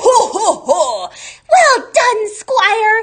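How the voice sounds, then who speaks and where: An extremely high, put-on character voice. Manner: mocking, booming laugh.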